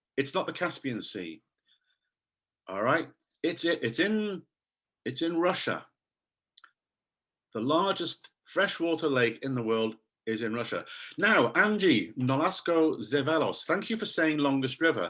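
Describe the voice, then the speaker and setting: A man with a fairly high pitch and a bright, sharp tone, very wide pitch swings, a fairly slow pace and long, frequent pauses. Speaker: English teacher trainer. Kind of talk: online conference talk. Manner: animated.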